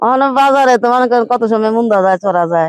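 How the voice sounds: A woman talks at a fairly quick pace and fairly high pitch. Her tone is clear and smooth, with ordinary pitch variation.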